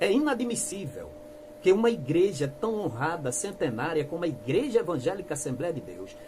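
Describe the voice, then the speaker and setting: Fairly slow speech with very wide pitch swings over noticeable background noise. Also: man. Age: 60s. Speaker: church critic youtuber. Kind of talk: denunciation monologue. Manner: impassioned.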